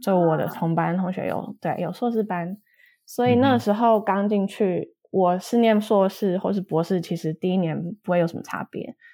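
The recording is very clean, with a silent background. A woman talks at a moderate pace with a dark, mellow tone, medium pitch and ordinary pitch variation. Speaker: postdoctoral researcher. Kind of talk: casual interview. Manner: hesitant, many fillers.

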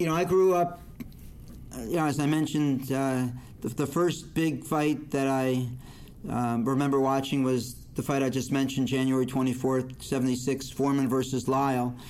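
In audible room echo, a man with an American accent speaks with fairly even intonation. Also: medium pitch for a man, moderate pace. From northern New Jersey. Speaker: boxing judge and lawyer. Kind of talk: interview.

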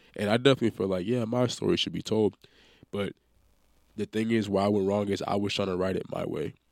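A man with an American accent, fairly low in pitch, at a very fast pace with fairly even intonation. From California. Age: 20s. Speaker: college football player. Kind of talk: casual chat.

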